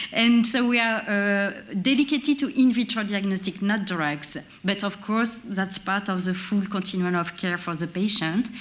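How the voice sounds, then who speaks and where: Amid audible room echo, a woman with a French accent talks at a moderate pace and medium pitch, with ordinary pitch variation. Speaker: industry representative at a conference. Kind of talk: conference presentation. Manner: hesitant, with many filler sounds.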